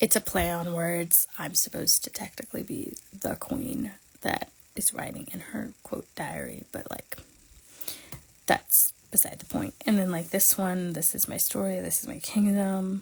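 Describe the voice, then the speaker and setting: With lively intonation and an ordinary speaking voice, a woman talks at a fairly slow pace and a medium pitch. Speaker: planner creator. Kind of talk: casual livestream tutorial. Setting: livestream.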